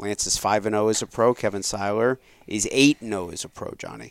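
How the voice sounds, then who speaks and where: A man speaks at a fairly quick pace with fairly even intonation and a fairly low pitch, in an ordinary speaking voice. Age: 30s. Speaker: podcast host and father. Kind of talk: casual chat.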